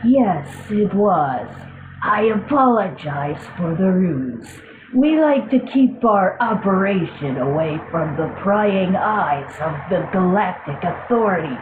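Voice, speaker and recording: This female-sounding voice is a put-on character voice at a medium pitch for a woman, going at a fairly slow pace. Background noise is clearly audible. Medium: audio drama. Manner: dry, courteous.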